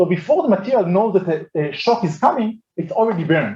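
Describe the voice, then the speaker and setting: The speaker is a man with a high-pitched voice. He talks at a fairly quick pace. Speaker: astrophysics professor. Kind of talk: lecture. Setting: colloquium with audience. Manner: fast.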